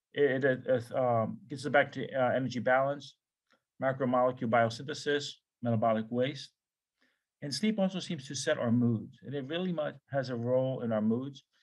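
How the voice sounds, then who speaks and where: A man at medium pitch with ordinary pitch variation, over a quiet background. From US Northeast, New York City. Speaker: professor. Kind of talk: lecture. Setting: video call. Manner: fast.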